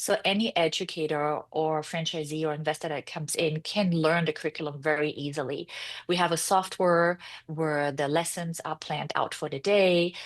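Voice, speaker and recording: A woman speaks with a German accent at a very deep, low pitch. Her pace is moderate and her intonation fairly even. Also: quiet background. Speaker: founder and CEO of a preschool franchise. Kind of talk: interview.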